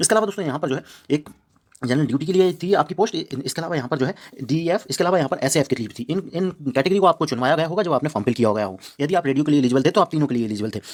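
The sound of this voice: Talking at a very fast pace, a man uses a fairly high pitch, a slightly mellow tone and lively intonation.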